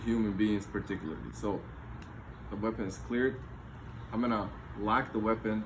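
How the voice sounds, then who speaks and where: Speech at a moderate pace and with fairly even intonation carries audible room echo. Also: man. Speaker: firearms instructor. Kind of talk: tutorial. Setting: home garage.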